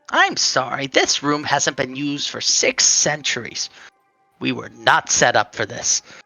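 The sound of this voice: Faint music plays in the background behind a put-on character voice. It moves at a moderate pace with a low-to-middle pitch.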